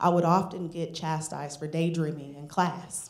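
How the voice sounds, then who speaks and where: A woman with an American accent, fairly low-pitched, at a moderate pace, amid audible room echo. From northern US. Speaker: storyteller. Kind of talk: live storytelling. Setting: stage with audience.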